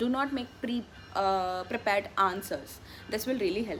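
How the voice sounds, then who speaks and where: Speaking in an Indian accent, a woman uses a fairly high pitch and lively intonation at a moderate pace. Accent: Indian English (Telugu). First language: Telugu. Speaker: vlogger, graduate student. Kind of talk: casual vlog Q&A. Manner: casual, with frequent fillers and self-corrections.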